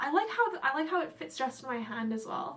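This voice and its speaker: A woman with an American accent speaks in a high voice with an animated tone at a moderate pace. Noticeable background noise is present. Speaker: beauty vlogger. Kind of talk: casual vlog.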